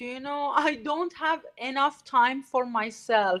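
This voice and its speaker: Speaking at a very slow pace with a Persian accent, a woman uses ordinary pitch variation on a very clean recording with a silent background. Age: 40s. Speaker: artist community founder. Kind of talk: interview. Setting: live stream. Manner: halting.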